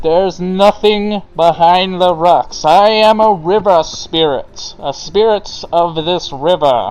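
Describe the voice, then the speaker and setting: A put-on character voice at a middle pitch, fairly slow and with hardly any pauses. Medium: actual play. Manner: plaintive, pleading.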